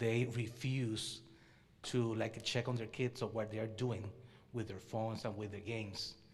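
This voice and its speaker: A man's medium-pitched, flat, monotone delivery at a fairly slow pace, with long, frequent pauses and audible room echo. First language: not English. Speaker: audience member. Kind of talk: audience question.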